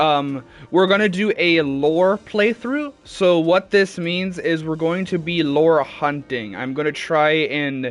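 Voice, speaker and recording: With music in the background, a man speaks fairly slowly in a fairly high voice with ordinary pitch variation. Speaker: gaming streamer. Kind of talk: live gameplay stream. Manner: loud; hesitant, many fillers.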